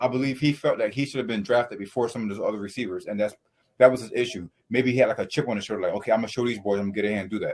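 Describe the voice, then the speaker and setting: Very fast speech in an American accent with ordinary pitch variation. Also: man. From US South. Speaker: sports podcast host. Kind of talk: casual chat.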